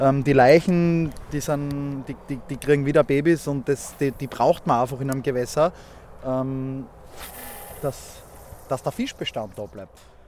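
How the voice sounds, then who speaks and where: With a Styrian accent, the speaker uses fairly even intonation and long, frequent pauses against noticeable background noise. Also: man, fairly high pitch for a man. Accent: Austrian (Styrian) German. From Austria, Graz (Styria). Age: 30s. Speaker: angler. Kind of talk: casual chat and fishing instruction. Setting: outdoors on a small boat on a lake.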